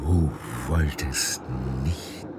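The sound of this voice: Over clear music in the background, a man uses a put-on character voice with extremely low pitch, fairly even intonation and a very slow pace.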